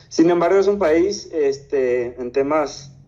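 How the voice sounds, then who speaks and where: A man speaks in a dark, mellow tone. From Paraguay. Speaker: investor. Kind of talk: interview.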